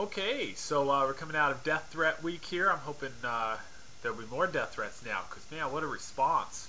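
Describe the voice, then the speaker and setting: A man speaks at a moderate pace with a fairly high pitch. He has a normal speaking voice with ordinary pitch variation. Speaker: stand-up comedian. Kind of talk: comedic talk to camera about atheism. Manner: casual, rambling with filler words.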